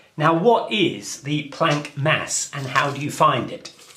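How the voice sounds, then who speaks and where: A man talks at a very slow pace, with audible room echo. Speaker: physics lecturer. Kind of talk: lecture.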